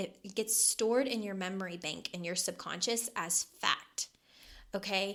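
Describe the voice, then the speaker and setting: Bright and sharp in tone, a woman speaks at medium pitch with ordinary pitch variation. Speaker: podcast host and life coach. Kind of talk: solo podcast talk. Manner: casual, with fillers and repetitions.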